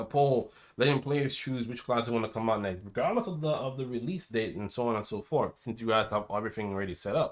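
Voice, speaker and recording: Very fast, near-pauseless speech from a man at medium pitch with ordinary pitch variation, over a very clean recording with a silent background. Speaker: gaming streamer. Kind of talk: unscripted rant. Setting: live stream. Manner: stuttering, halting.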